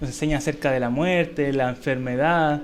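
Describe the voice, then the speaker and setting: Audible room echo surrounds a man whose fairly high voice carries fairly even intonation. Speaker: Sunday school teacher. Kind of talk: Bible class lecture. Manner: conversational, checks understanding with questions.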